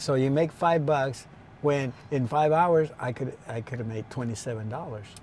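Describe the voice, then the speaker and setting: At a moderate pace, a man with a medium-pitched, somewhat breathy voice speaks with ordinary pitch variation. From Imperial Valley, California. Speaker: former farmworker. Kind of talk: interview. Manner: hesitant, many fillers.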